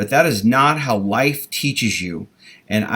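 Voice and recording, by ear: Reading aloud in a natural voice.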